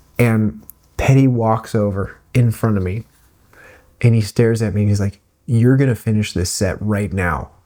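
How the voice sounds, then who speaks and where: A soft-spoken man's voice, fairly low in pitch and dark and mellow in tone, at a moderate pace with fairly even intonation. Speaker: streamer and vlogger. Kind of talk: casual vlog storytelling. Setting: not in usual recording space at home. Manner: soft-spoken, keeping voice low.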